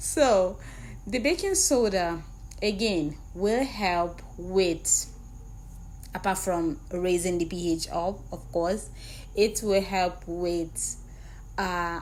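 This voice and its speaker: Speaking at a very slow pace with long, frequent pauses, a woman is heard with audible room echo. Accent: non-native. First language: not English. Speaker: skincare product maker and trainer. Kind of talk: tutorial. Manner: casual, repetitive.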